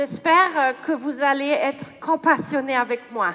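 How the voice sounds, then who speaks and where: A woman speaks at a very slow pace. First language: German or English; French learned in childhood (speaking French). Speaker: neuroscientist. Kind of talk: lecture. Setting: stage with audience. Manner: halting, many hesitations.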